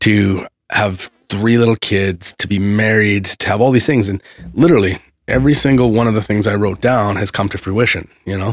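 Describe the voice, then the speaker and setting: In a normal speaking voice, a man with a fairly low pitch talks with fairly even intonation, the recording very clean with a silent background and a dry, close sound with no echo. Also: moderate pace. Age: 40s. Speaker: podcast host. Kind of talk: casual chat. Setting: studio.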